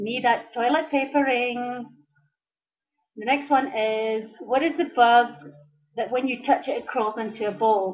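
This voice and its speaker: A woman with a high pitch speaks with long, frequent pauses and ordinary pitch variation. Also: fairly slow pace. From Scotland. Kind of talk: casual vlog talk to camera.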